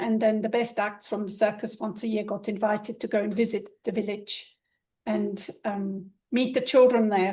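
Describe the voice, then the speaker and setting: Her somewhat breathy voice has a dark, mellow tone and a fairly high pitch. The woman speaks at a moderate pace with monotone, flat intonation. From Switzerland. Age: 70s. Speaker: ballet teacher and pointe shoe fitter. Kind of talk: interview.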